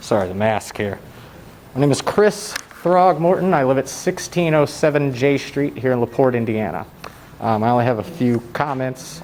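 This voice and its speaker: A quiet voice speaks at a moderate pace with lively intonation. Noticeable background noise runs underneath. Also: man, medium pitch for a man. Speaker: public commenter and YouTube channel owner. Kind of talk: public comment at council meeting. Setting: council meeting hall. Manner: too quiet at first.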